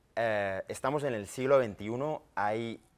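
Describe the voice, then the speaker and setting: A man's voice with ordinary pitch variation. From Catalonia. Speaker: independence activist; guest. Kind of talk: TV panel debate. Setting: TV studio. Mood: earnest, argumentative. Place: studio. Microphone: lapel.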